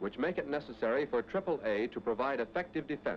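In an ordinary speaking voice, a man talks at a fairly high pitch and fairly quick pace with lively intonation. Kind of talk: 1940s wartime training film narration. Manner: formal, authoritative, brisk; measured, declarative, newsreel-style delivery.

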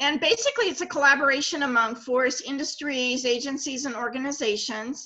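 Against a quiet background, a woman raises and projects her high, bright, sharp voice with ordinary pitch variation. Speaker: tree improvement researcher. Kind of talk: educational presentation. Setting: video call. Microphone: webcam.

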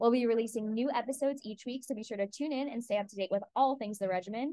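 Her words come at a very fast pace, with ordinary pitch variation throughout. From Long Island, New York. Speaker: pharmacy student, podcast co-host. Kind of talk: scripted podcast trailer.

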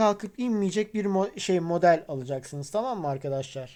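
A woman's dark, mellow voice at medium pitch and moderate pace, lively in intonation, on a very clean recording with a silent background. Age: 40s. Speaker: guitar hobbyist YouTuber. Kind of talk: tutorial. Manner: casual, repetitive fillers.

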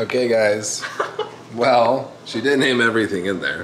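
A man speaks at a fairly slow pace with ordinary pitch variation. Room echo is audible, along with light background noise. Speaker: bodybuilder vlogger. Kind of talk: casual vlog chat. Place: kitchen. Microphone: phone near.

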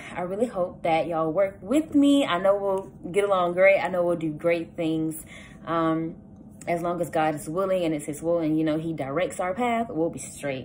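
With a Southern US accent, a woman speaks at a moderate pace with a fairly low pitch. Her pitch varies in an ordinary way, and light background noise is present. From US South, south Georgia. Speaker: student. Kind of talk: campaign speech. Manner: casual, with frequent filler words. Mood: warm, hopeful, upbeat. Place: home room. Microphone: phone near.

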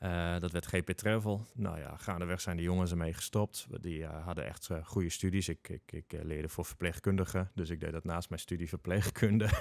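On a very clean recording with a silent background and a dry, close sound with no echo, a man with a very deep, low pitch talks at a fairly quick pace, with hardly any pauses and fairly even intonation. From northern Netherlands, Groningen. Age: 40s. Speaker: entrepreneur and fellow podcaster. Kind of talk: podcast interview. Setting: studio.

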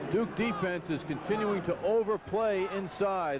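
A man speaks over noticeable background noise. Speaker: basketball color commentator. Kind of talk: live sports analysis.

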